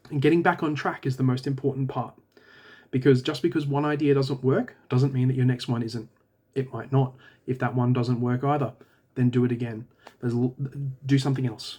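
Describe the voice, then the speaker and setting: At a fairly quick pace, a man speaks somewhat breathily in a dark, mellow tone with medium pitch and fairly even intonation, leaving long, frequent pauses. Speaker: indie author and video creator. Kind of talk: casual talking-head monologue. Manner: halting, with false starts.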